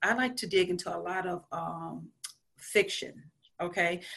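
Her tone bright and sharp, a woman speaks at a medium pitch with vocal fry. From rural south Louisiana. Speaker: school counselor. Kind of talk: interview.

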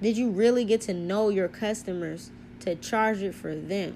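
A woman speaks in an animated tone at medium pitch. Her pitch variation is ordinary. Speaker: spiritual podcaster. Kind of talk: monologue talk on spirituality. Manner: fast talker, hyper, speaks over words; animated, casual.

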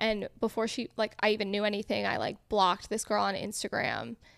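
With an American accent, a woman talks at a fairly quick pace in a normal speaking voice with fairly even intonation, recorded very cleanly against a silent background. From Connecticut. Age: 20s. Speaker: food content creator. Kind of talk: casual chat.

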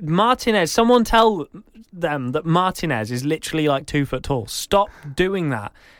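Lively intonation from a man with an English accent, very clean recording, silent background. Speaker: podcast co-host. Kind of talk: casual chat.

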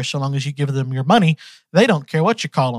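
Recorded with a dry, close sound and no echo, a man has an ordinary speaking voice, fairly high in pitch, with ordinary pitch variation. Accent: American. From US South, Georgia. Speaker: podcast host. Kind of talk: casual solo monologue.

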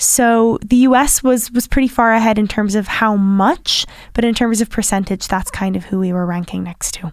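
A woman with an American accent speaks in a normal speaking voice, her fairly high pitch moving with ordinary variation and hardly any pauses. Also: moderate pace. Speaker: PhD researcher. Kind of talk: podcast interview discussion.

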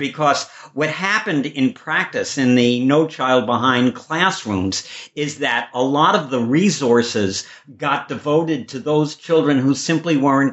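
With an American accent, a man talks at a moderate pace in a fairly high pitch with ordinary pitch variation, and noticeable background noise runs underneath. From Chicago, US Midwest. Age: 70s. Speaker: podcast host. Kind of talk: interview.

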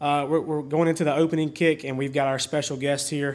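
Over a very clean recording with a silent background, a voice in a Southern US accent speaks with monotone, flat intonation. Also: man. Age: 30s. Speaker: podcast host, football coach. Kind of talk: casual interview.

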